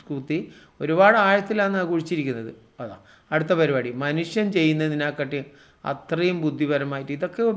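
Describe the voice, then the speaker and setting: Here a man with a fairly high pitch speaks with ordinary pitch variation. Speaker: YouTuber narrating a nature video. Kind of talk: video commentary. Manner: animated.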